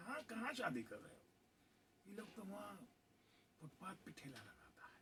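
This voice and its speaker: A man speaks in a bright, sharp tone at a high pitch, with very wide pitch swings, big swings in loudness, and long, frequent pauses. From Ambedkar Nagar, Uttar प्रदेश, India. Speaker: Bhojpuri film actor. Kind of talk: interview answer.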